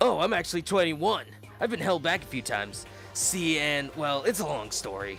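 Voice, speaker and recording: Over clear music in the background, a man uses a put-on character voice that is raspy and gruff, fairly high in pitch with very wide pitch swings, at a moderate pace. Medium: game stream. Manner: laid-back, drawling.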